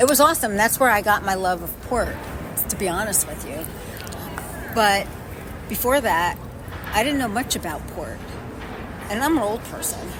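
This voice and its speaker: A woman speaks at a moderate pace with long, frequent pauses and big swings in loudness. Music plays in the background, and room echo is audible. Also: fairly high pitch for a woman, lively intonation. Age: 60s. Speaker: podcast host. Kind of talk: interview. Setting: in person, New York City.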